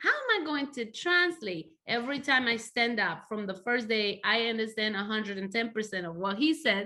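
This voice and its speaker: With a Spanish accent, this voice moves along at a moderate pace. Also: woman. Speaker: church interpreter. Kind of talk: interview testimony.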